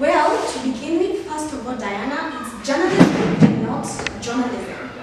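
Strong room echo and noticeable background noise fill the recording as a woman speaks. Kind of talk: acted debate speech. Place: classroom.

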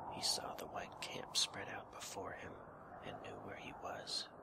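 Someone whispers in a calm tone at a fairly slow pace over noticeable background noise. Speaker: audiobook / ASMR narrator. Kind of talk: soft-spoken ASMR bedtime story reading. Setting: reading over ambient wind sound effect. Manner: soft-spoken, calm, relaxing.

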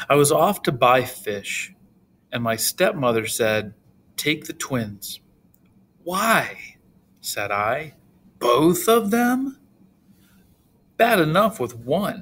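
Pausing long and often at a very slow pace, a man with a fairly high pitch and vocal fry speaks with very wide pitch swings. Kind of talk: dramatic monologue reading.

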